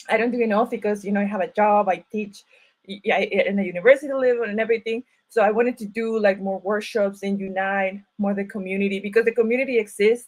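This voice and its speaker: A woman with a Mexican accent talks very fast in a flat, monotone delivery. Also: medium pitch for a woman. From Mexico (Ciudad Obregón, Sonora). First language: Spanish. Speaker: writer and university teacher. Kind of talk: panel talk at online event. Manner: halting, many fillers and restarts.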